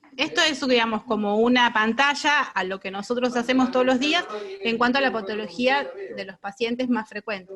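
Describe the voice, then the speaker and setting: A woman's high-pitched voice comes through over noticeable background noise. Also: ordinary pitch variation. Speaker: radiation oncologist lecturer. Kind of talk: lecture. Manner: fast.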